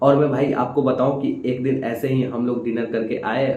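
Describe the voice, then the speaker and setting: The speaker is a man with a medium pitch. Noticeable background noise runs behind him. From Samastipur, Bihar, India. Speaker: stand-up comedian. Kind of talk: stand-up comedy set.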